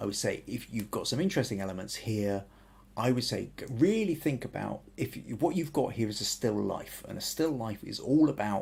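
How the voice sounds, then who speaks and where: A man with a southern English accent, vocal fry and lively intonation at a moderate pace. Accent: southern English, fairly generic. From southern England and Wales. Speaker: photography podcast host. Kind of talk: photo critique livestream. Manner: hesitant, many restarts.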